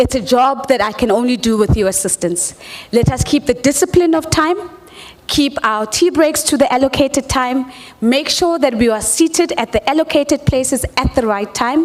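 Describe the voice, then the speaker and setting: Noticeable background noise sits behind a woman whose high voice has lively intonation and very even loudness. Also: moderate pace. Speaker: conference moderator. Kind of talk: event moderation. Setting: stage with audience.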